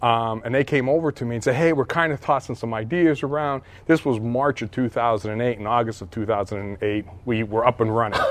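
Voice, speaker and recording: Here a man speaks in a plain, everyday voice with an American accent, at a moderate pace with hardly any pauses. His pitch is medium, with ordinary pitch variation. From Pennsylvania (Hazleton). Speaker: school board member. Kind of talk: interview. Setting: school fitness center.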